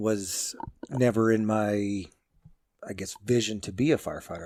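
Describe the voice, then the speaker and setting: A man talks with a slight Canadian accent. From southwestern Ontario, Canada (London area). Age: 50s. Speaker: fire captain and magazine editor. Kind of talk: interview podcast.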